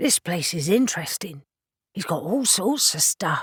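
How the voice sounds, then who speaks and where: In a put-on character voice, a woman speaks at a medium pitch with very wide pitch swings and a raspy sound. Her pace is moderate, and the recording is very clean with a silent background. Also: dry, close sound with no echo. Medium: read story. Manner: teasing, cheeky.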